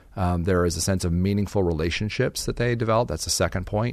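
A man with an American accent, very deep, low pitch and a very fast pace, over a quiet background. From US Southwest. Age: 40s. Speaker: researcher and author. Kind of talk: interview. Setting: studio.

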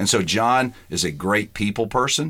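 A moderate pace with an American accent. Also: man. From US South (Georgia). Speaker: pastor. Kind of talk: interview.

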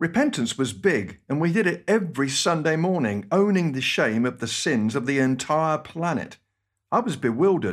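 In a British accent, a man with a fairly high pitch talks at a moderate pace with very wide pitch swings on a very clean recording with a silent background. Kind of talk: scripted radio talk with personal stories.

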